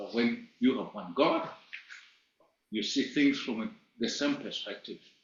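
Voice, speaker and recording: A man talks at a fairly slow pace with ordinary pitch variation. There is audible room echo. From Malawi. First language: not English. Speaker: teacher. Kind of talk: lecture.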